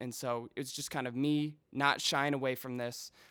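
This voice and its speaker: This medium-pitched man talks at a moderate pace in an American accent with monotone, flat intonation. The recording is very clean, with a silent background. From Chicago suburbs. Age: 20s. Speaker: musician. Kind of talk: casual chat.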